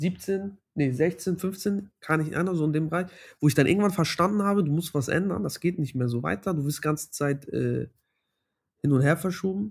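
A man's ordinary speaking voice, fairly high in pitch with ordinary variation, at a moderate pace on a very clean recording with a silent background. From Hamburg, Germany. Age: 20s. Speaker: doctoral student. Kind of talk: interview.

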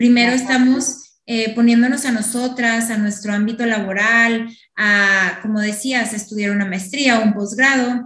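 A woman speaks at a moderate pace with hardly any pauses. Her fairly high voice has a bright, sharp tone and monotone, flat intonation. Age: 20s. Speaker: podcast host. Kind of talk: interview; scripted intro.

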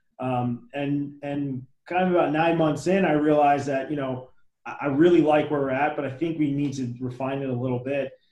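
The voice has a dark, mellow tone and fairly even intonation. It speaks with an American accent. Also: man, fairly high pitch for a man, moderate pace. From New Jersey, near Trenton. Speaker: business founder and CEO. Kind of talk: interview.

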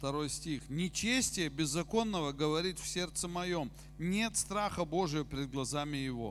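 Over music in the background, a man with a fairly high voice talks at a moderate pace in an animated tone, with ordinary pitch variation. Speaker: preacher. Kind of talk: sermon, preached in Russian and interpreted sentence by sentence into German. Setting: church with congregation, also streamed online. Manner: animated, exhortative, direct appeals to the congregation.

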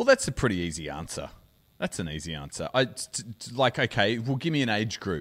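Speaking very fast with an Australian accent, a man at medium pitch uses very wide pitch swings, big swings in loudness and vocal fry. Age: 40s. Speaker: podcast host. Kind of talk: casual chat.

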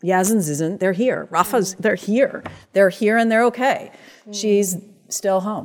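Using a plain, everyday voice with an American accent, a woman talks at a moderate pace with ordinary pitch variation. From US, Iraqi American heritage. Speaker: playwright and performer. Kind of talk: panel discussion. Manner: frequent um fillers.

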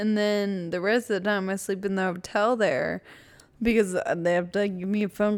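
A woman with an ordinary speaking voice, medium pitch and an American accent at a moderate pace, on a very clean recording with a silent background. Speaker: podcast co-host with rare muscular disease. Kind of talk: casual chat.

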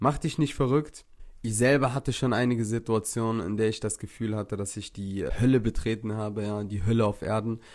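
Medium in pitch, a man talks at a fairly quick pace. The recording is very clean, with a silent background. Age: 30s. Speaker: podcast host and social media influencer. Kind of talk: casual motivational monologue. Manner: animated.

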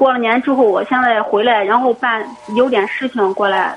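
Noticeable background noise accompanies a woman whose high-pitched voice moves at a moderate pace with fairly even intonation. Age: 20s. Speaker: caller. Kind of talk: call-in advice conversation. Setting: phone call. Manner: halting, repetitive.

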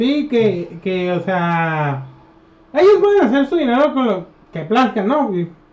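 Someone with a Mexican accent speaks at a very slow pace, with very wide pitch swings and long, frequent pauses, over noticeable background noise. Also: man. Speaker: podcast co-host. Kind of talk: casual chat.

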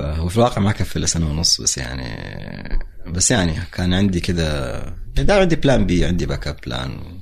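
Over noticeable background noise, the speaker talks at a moderate pace with very wide pitch swings. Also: man, very deep, low pitch for a man. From Hejaz, Saudi Arabia. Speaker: entrepreneur and marketer. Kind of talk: casual interview.

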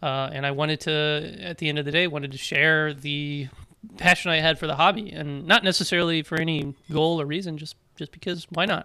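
A man's bright, sharp voice, fairly high in pitch, at a fairly quick pace with fairly even intonation, on a very clean recording with a silent background. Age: 20s. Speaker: ham radio youth organizer and RF engineer. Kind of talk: casual interview. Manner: fast.

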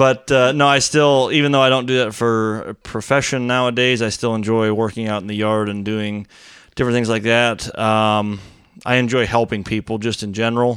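In an American accent, a man speaks at a moderate pace in an unremarkable speaking voice of medium pitch. His intonation is fairly even, and the recording is very clean with a silent background. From Florida. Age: 30s. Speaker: window and door installer. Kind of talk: casual chat.

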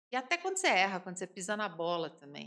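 The woman's voice has a bright, sharp tone. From São Paulo city, Brazil. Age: 50s. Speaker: home baker and entrepreneur. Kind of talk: casual interview.

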